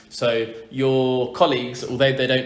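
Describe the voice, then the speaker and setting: A man talks at a medium pitch, his voice carrying audible room echo. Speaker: football podcast host. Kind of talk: casual interview. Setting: living room.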